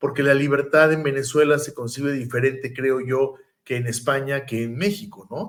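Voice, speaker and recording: A man's plain, everyday voice, fairly high in pitch, with ordinary pitch variation at a moderate pace. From Mexico. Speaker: podcast host. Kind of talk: interview conversation.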